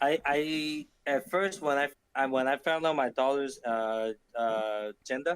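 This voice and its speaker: In a dry, close sound with no echo, a man with a fairly high pitch talks fairly slowly, with ordinary pitch variation and very even loudness. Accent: Cantonese. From Hong Kong. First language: Cantonese. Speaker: podcast co-host. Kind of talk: casual chat.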